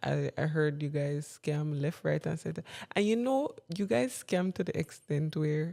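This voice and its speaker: Her voice is very deep and low, with a dark, mellow tone and a fairly slow pace. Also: very clean recording, silent background. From Jamaica. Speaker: podcast co-host. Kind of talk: casual chat. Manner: animated.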